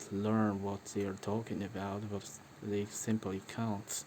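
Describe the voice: The delivery is slow and monotone with flat intonation and a slightly mellow tone. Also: man.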